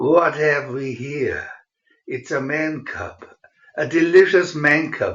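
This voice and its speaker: Using a put-on character voice, a man speaks fairly slowly at a fairly high pitch, with hissing throughout. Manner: menacing.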